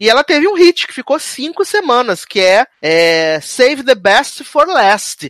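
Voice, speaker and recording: The voice swings very widely in pitch, recorded dry and close with no echo. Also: man. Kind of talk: radio dj patter. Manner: chatty, jokey.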